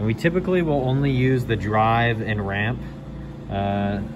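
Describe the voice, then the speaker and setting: The speaker talks at a fairly slow pace with lively intonation. Noticeable background noise is present. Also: man. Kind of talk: tutorial. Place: workshop. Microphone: phone near.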